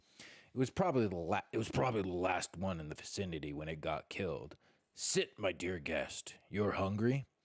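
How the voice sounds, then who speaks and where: A growling, croaky, gruff put-on character voice at a moderate pace. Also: man, very deep, low pitch for a man. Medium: read story. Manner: gruff, growling.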